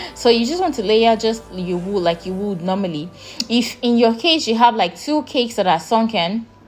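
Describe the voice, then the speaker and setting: With music in the background, a woman's fairly high voice carries lively intonation. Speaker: baking youtuber. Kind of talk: tutorial. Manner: fast; casual, filler words.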